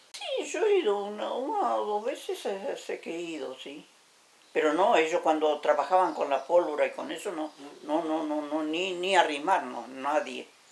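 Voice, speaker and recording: A woman speaks at a fairly slow pace with big swings in loudness. Noticeable background noise is present. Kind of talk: interview answer.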